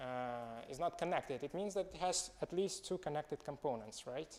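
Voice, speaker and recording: Speaking in a Russian accent, a man uses a fairly high pitch with ordinary pitch variation at a moderate pace. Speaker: student presenting a proof. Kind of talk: seminar presentation. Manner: halting.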